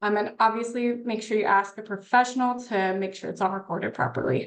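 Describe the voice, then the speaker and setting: Using an ordinary speaking voice, a woman with a fairly high pitch talks at a fairly quick pace with ordinary pitch variation. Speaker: tax professional. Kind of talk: online workshop presentation.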